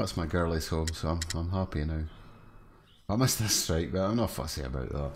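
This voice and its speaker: Speaking fairly quickly with a Scottish accent, a man with a very deep, low voice uses ordinary pitch variation amid audible room echo. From northeast Scotland. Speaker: gaming streamer. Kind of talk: live game stream commentary. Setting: at home, late at night.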